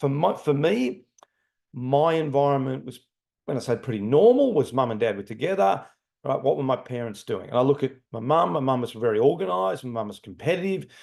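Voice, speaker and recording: With an ordinary speaking voice, a man talks at a fairly quick pace and medium pitch, his intonation lively against a quiet background. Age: 60s. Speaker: leadership trainer. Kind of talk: lecture.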